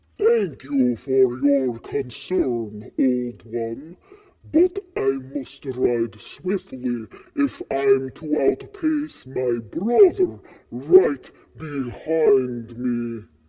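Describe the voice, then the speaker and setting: A man slips into a put-on character voice at medium pitch and talks at a very slow pace. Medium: game stream.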